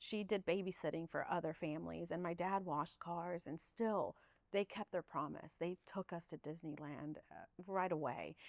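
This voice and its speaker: The voice has vocal fry and a moderate pace, recorded with a dry, close sound and no echo. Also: woman. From Guatemala, moved to Southern California as a child. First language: Spanish. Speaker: public information officer, former TV reporter. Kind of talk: podcast interview.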